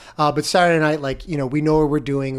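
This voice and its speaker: A man with an American accent. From Florida. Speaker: podcast host. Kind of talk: casual chat. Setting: studio.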